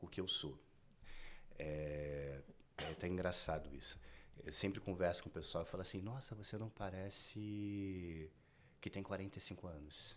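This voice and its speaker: This man talks at a fairly slow pace. His very deep, low pitch shows ordinary variation. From Brazil, Rio de Janeiro outskirts. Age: 40s. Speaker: fashion designer. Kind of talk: podcast interview.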